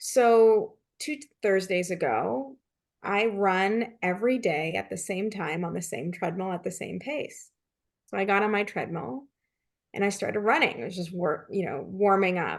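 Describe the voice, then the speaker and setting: Against a quiet background, a woman speaks with lively intonation and vocal fry. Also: medium pitch for a woman, moderate pace. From Canada. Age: 40s. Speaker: leadership consultant and author. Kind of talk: interview.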